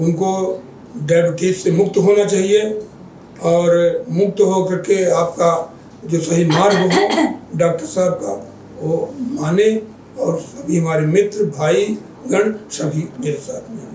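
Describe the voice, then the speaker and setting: This man's voice sits high, with big swings in loudness. Noticeable background noise and audible room echo fill the recording. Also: ordinary pitch variation. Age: 70s. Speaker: diabetes patient. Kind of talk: interview testimony. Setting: clinic OPD.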